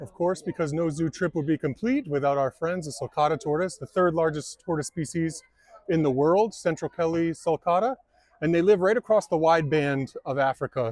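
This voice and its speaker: A man speaks at a moderate pace with ordinary pitch variation. It is an ordinary speaking voice. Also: dry, close sound with no echo. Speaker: turtle content creator. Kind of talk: casual vlog narration. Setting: outdoors at a zoo.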